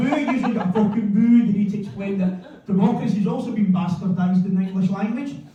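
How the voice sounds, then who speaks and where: Speaking in a west of Scotland accent, a man with a high voice talks at a fairly quick pace with ordinary pitch variation. Noticeable background noise and audible room echo are present. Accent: west of Scotland Scottish. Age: 50s. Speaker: stand-up comedian. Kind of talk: stand-up. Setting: stage with audience.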